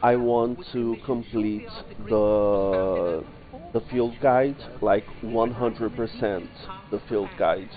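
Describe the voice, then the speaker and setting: Music plays in the background while a man speaks at a very slow pace with a non-native accent. His intonation is fairly even. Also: medium pitch for a man. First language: not English. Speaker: streamer. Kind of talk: live gameplay commentary. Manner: halting.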